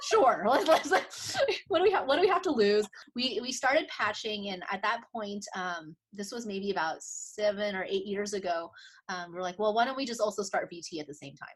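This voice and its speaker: A woman's fairly high voice with big swings in loudness. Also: lively intonation. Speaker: optometrist. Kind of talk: interview. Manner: fast.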